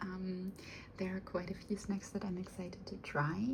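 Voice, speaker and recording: A soft-spoken voice with a non-native accent at a moderate pace, amid noticeable background noise. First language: not English. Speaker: unboxing video creator. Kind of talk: product unboxing. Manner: halting, many fillers.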